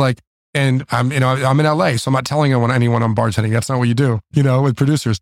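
A man with an American accent speaks at a very fast pace with very even loudness, fairly even intonation, and a dry, close sound with no echo. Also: medium pitch for a man. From South Florida. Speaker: restaurateur and entrepreneur. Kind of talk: interview. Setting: restaurant.

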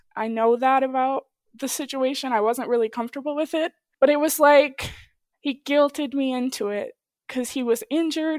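This woman's voice is high-pitched, with ordinary pitch variation. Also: very clean recording, silent background. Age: 20s. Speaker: interviewee sharing personal story. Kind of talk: casual interview, personal testimony.

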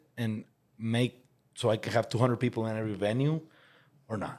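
Medium-pitched male speech at a moderate pace, with a Spanish accent. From Mexico. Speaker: podcast host. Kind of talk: casual interview.

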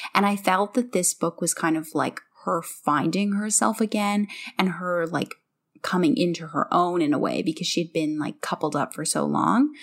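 Vocal fry runs through this woman's voice. Her intonation is lively. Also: fairly low pitch for a woman, moderate pace. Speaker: podcast host. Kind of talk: casual podcast chat, book discussion.

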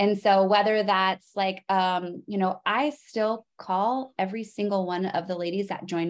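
A woman with an American accent speaks in an ordinary speaking voice at medium pitch. Her pace is moderate and the background is quiet. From Arizona, US. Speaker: business coach. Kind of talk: casual interview.

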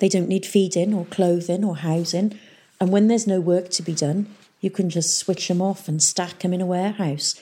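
Fairly even intonation in a natural reading voice

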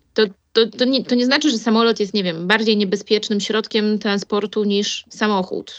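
With a normal speaking voice, a woman talks at a moderate pace, her fairly high pitch held to a fairly even intonation. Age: 20s. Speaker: airline pilot and flight instructor. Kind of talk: casual interview.

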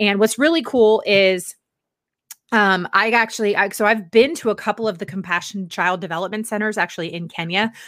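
A woman talks fairly quickly in an ordinary speaking voice, at a medium pitch with ordinary pitch variation. The recording is very clean, with a silent background. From Northern Virginia. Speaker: lifestyle blogger and podcast host. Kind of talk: casual chat.

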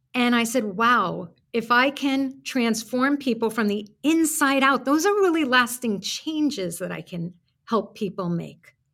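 Talking at a fairly slow pace, a woman has a New York accent and lively intonation. Her high voice has a bright, sharp tone. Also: very clean recording, silent background. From Brooklyn, New York. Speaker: author and career coach. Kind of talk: casual interview chat.

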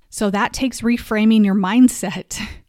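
A woman speaks at a fairly slow pace with a medium pitch, ordinary pitch variation and an unremarkable speaking voice. The recording is very clean, with a silent background. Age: 40s. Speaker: wellness podcast host. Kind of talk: motivational monologue.

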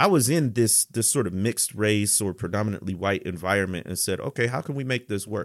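A man's fairly low voice with an American accent, fairly quick with hardly any pauses, ordinary pitch variation, in a very clean recording with a silent background. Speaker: historian and author. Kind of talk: conversational interview.

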